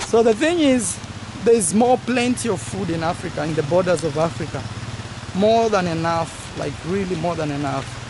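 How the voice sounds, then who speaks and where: Moderate-paced speech with noticeable background noise and a dry sound with no echo. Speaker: travel vlogger. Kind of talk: casual vlog chat. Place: garden. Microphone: phone near.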